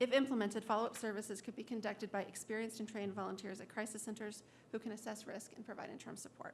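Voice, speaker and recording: A woman at a very fast pace, somewhat breathy, with monotone, flat intonation and big swings in loudness. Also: fairly high pitch for a woman. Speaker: suicide prevention coalition director. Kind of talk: public testimony. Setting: public hearing.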